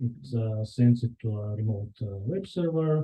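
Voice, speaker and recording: At a fairly slow pace, a man in a Bulgarian accent sounds somewhat breathy, his pitch varying in an ordinary way. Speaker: software engineer. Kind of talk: conference talk. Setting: meetup with live audience. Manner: hesitant, many fillers.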